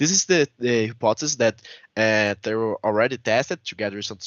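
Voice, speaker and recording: Speaking at a fairly quick pace, a man has a Portuguese accent. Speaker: researcher. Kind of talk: conference presentation. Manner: halting.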